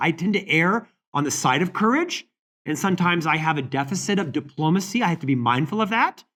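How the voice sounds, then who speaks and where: In an American accent, a man with a high voice talks at a very fast pace with lively intonation. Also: very clean recording, silent background. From Florida. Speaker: leadership author and speaker. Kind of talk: interview conversation.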